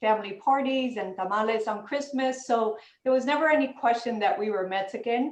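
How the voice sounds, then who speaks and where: A woman with a Spanish accent at a moderate pace, fairly high in pitch, with ordinary pitch variation. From US, Los Angeles (South Central). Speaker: panelist. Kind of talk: panel discussion.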